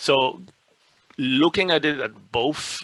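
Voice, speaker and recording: Lively intonation and a bright, sharp tone mark this voice with a French accent, the sound dry and close with no echo. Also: man. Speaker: speech translation expert. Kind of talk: webinar Q&A.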